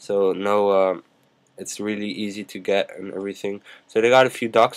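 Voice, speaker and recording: A man's fairly low, monotone voice with flat intonation at a moderate pace. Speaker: YouTube tech tutorial maker. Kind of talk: screen-recorded tutorial. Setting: screen recording at a computer. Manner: casual, filler-heavy. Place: home room. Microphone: webcam.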